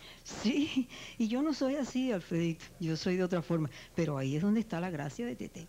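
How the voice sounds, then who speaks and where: A dark, mellow voice with very wide pitch swings at a fairly quick pace, over light background noise. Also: woman. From Cuba. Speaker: actress and radio announcer. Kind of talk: interview answer. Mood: warm, relaxed, reflective. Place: studio. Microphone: handheld.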